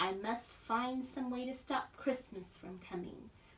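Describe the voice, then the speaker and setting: Putting on a growling character voice in a high pitch, a woman speaks at a fairly slow pace against clear background noise. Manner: growling, sneering.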